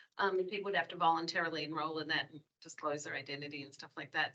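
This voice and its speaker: With an Australian accent, a woman speaks in a bright, sharp tone. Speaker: public health staff member. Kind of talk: public meeting discussion.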